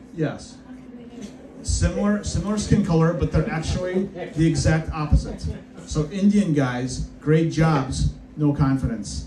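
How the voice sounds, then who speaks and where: Noticeable background noise sits behind speech delivered at a fairly slow pace. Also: man. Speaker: stand-up comedian. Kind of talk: stand-up comedy set. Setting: comedy club stage with live audience. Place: stage. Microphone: camera far.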